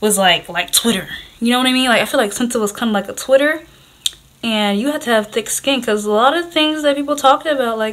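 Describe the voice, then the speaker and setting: Talking at a very fast pace, a woman uses a high pitch with ordinary pitch variation. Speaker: beauty vlogger. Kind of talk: casual storytime while doing makeup. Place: home room. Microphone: phone near.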